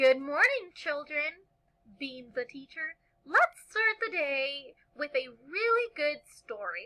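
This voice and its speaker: Using a put-on character voice, a woman speaks in a high pitch. Her pace is fairly slow. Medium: read story. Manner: warm, patient.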